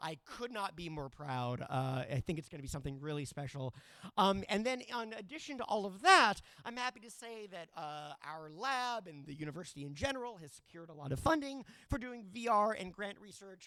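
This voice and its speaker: Raising and projecting his voice, a man talks at a high pitch and a fairly quick pace in a bright, sharp, animated tone, with very wide pitch swings and big swings in loudness. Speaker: university professor. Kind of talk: conference presentation. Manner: fast.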